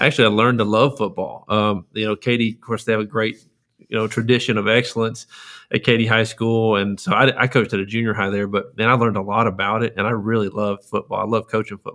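With a Texan accent and a bright, sharp tone, the speaker rushes along at a very fast pace in monotone, flat intonation. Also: man, medium pitch for a man. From East Texas (Lufkin). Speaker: school superintendent. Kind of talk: interview.

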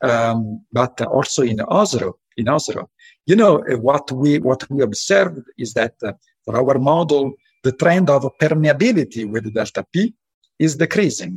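A man speaks at a moderate pace with lively intonation, his fairly high voice somewhat breathy, in a dry, close sound with no echo. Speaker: professor. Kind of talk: interview.

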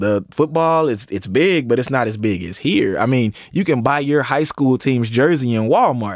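Recorded dry and close with no echo, a man with an American accent uses a normal speaking voice at medium pitch and a moderate pace. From East Texas (Tyler). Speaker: university administrator and scholar. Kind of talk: interview.

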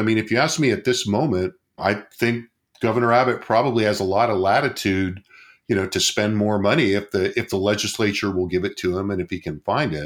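On a very clean recording with a silent background, a man with an unremarkable speaking voice talks fairly quickly at a fairly low pitch, with ordinary pitch variation. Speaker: political scientist and podcast host. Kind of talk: casual analytical discussion. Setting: studio.

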